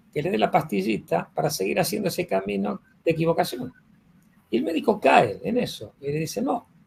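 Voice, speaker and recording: A man talks at a fairly quick pace, his fairly high voice marked by vocal fry. His pitch swings very widely. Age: 70s. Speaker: physician and teacher of a health school. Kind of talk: conversational interview. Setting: live recorded online session.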